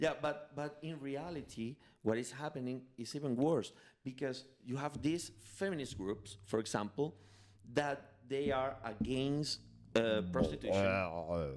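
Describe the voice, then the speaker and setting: A man's medium-pitched voice with a Spanish accent, lively intonation and a fairly slow pace. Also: very clean recording, silent background. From Venezuela, of Spanish parents. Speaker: podcast co-host. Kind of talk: casual chat. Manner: halting.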